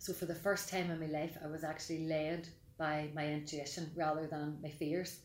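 A woman speaks at a moderate pace in a Mid Ulster accent, her pitch very deep and low, her intonation flat and monotone. Room echo is audible. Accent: Mid Ulster Northern Irish. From Northern Ireland, County Tyrone. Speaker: life coach and therapist. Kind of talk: podcast interview.

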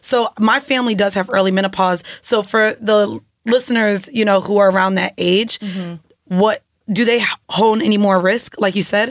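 A woman speaks at a moderate pace in a medium pitch. Her tone is animated. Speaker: podcast co-host. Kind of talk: casual chat.

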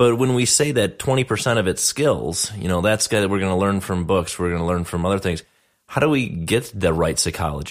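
On a very clean recording with a silent background, a man talks in a plain, everyday voice. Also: fairly low pitch for a man, lively intonation, moderate pace. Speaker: dentist and podcast host. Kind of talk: casual interview chat.

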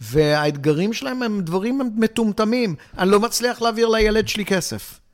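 A man is speaking. His pitch swings very widely. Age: 60s. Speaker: financial planner. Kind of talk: interview.

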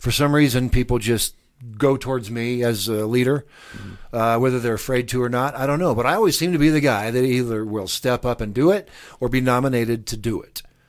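A man with an American accent and an unremarkable speaking voice, medium in pitch, at a fairly quick pace with ordinary pitch variation, on a very clean recording with a silent background. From US Midwest, Lincoln, Nebraska. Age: 60s. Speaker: presidential candidate. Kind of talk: interview. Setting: studio.

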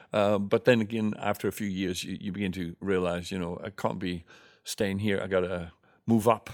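At a moderate pace, the speaker talks in a monotone, flat intonation on a very clean recording with a silent background. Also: man, fairly low pitch for a man. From Netherlands. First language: Dutch. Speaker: mime and playback theatre performer. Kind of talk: interview.

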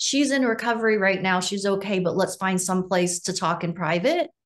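Her intonation is lively and her pace moderate. The woman has an unremarkable speaking voice. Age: 50s. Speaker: sound healer and author. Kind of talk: interview.

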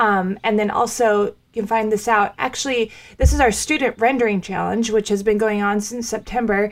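A woman with a plain, everyday voice and a fairly high pitch speaks at a moderate pace with hardly any pauses and fairly even intonation, on a very clean recording with a silent background. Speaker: co-host. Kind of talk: casual chat.

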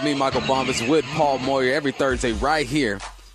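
A man talks at a very fast pace in an upbeat, cheerful tone. Noticeable background noise is heard. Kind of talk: radio DJ patter: punchy sports-radio segment tease and sign-off. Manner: upbeat, rapid-fire, hype-man energy with a cheerful teaser cadence.

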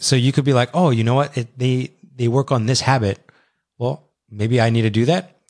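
In a very clean recording with a silent background, a man with a normal speaking voice talks at a fairly quick pace, his medium pitch and fairly even intonation held at very even loudness in a dry, close sound with no echo. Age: 30s. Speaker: podcast co-host. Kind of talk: casual chat.

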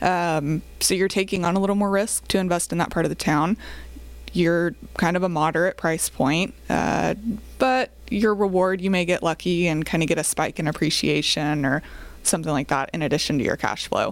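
A woman speaks at a moderate pace in a fairly low pitch, with vocal fry and very even loudness. The recording is very clean, with a silent background. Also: ordinary pitch variation. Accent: American. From Oklahoma (Choctaw, near Oklahoma City). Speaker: real estate investment company co-founder. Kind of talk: podcast interview. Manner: hesitant with fillers.

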